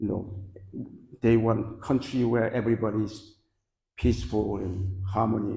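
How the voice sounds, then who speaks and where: A man's dark, mellow, somewhat breathy voice sits at a medium pitch with fairly even intonation and a moderate pace. Audible room echo can be heard. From Korea (born in North Korea). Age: 80s+. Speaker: guest lecturer. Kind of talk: lecture.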